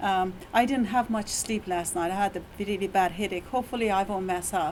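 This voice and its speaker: A woman talks at a fairly quick pace in an Iranian accent. Her intonation stays fairly even. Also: medium pitch for a woman. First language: Persian. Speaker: university lecturer. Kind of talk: presentation. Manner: halting.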